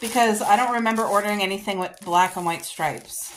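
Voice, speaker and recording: A woman at a fairly high pitch, with noticeable background noise. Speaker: lifestyle vlogger. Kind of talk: casual vlog try-on haul. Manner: loud; animated.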